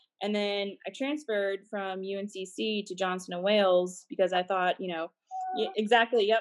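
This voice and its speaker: Using an unremarkable speaking voice, a woman with an American accent talks at medium pitch with fairly even intonation. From Massachusetts and North Carolina. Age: 20s. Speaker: private events manager. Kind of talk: interview. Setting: video call.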